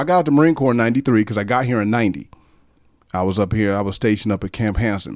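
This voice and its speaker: Speaking very fast, a man sounds animated, his medium pitch showing ordinary variation. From Detroit, Michigan. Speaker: former Marine and club security worker. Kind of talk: casual chat. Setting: studio.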